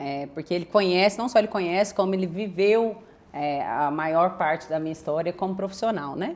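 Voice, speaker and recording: At a moderate pace and with ordinary pitch variation, a woman talks in an ordinary speaking voice. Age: 30s. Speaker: real estate agency partner. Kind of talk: podcast interview.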